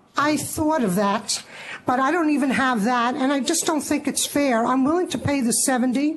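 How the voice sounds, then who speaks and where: A woman speaks at a high pitch with ordinary pitch variation and a moderate pace. Background noise is noticeable. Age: 60s. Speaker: licensee appealing to licensing board. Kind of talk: public testimony at board meeting. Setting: public board meeting.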